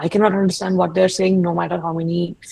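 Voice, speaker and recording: In an Indian accent, a woman talks at a very fast pace. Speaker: UX researcher, alumni webinar speaker. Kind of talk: webinar talk. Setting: online webinar. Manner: casual, many fillers.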